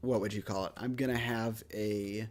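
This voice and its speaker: A man with a plain, everyday voice speaks at medium pitch. His pace is moderate and his intonation fairly even, in a very clean recording with a silent background. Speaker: gaming streamer. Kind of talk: casual gameplay commentary.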